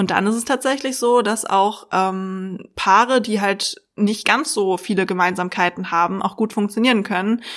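A woman speaks in a plain, everyday voice at medium pitch, with ordinary pitch variation. Her pace is moderate with hardly any pauses, and the recording is very clean with a silent background. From Berlin, Germany. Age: 30s. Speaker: psychologist and dating expert. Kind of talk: casual interview chat.

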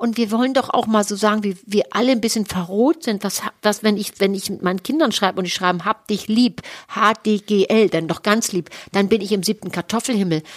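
An ordinary speaking voice from a woman at medium pitch, fairly quick pace and ordinary pitch variation, dry and close with no echo. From Hamburg, northern Germany. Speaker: sex therapist and podcast co-host. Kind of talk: casual chat.

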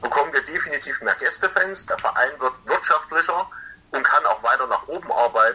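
Noticeable background noise accompanies this man as he talks at a moderate pace. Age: 30s. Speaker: ice hockey fan representative. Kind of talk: casual interview.

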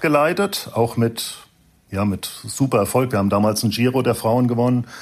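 With an unremarkable speaking voice, a man at medium pitch talks at a moderate pace with lively intonation. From Frankfurt/Wiesbaden, Hesse, Germany. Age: 50s. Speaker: cycling team director, former pro cyclist. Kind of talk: casual interview.

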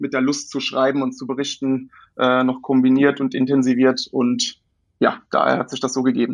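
His pitch sits fairly high. The man talks at a moderate speed. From Germany, born in London. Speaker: football writer. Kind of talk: casual chat. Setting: remote call. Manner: halting, many fillers.

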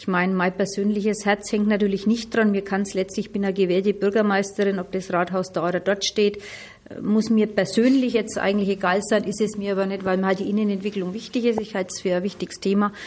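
A woman talks at a very fast pace, her pitch sitting in the middle range. Her intonation stays monotone and flat. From Middle Franconia, Germany. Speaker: mayor. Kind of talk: interview. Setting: on location.

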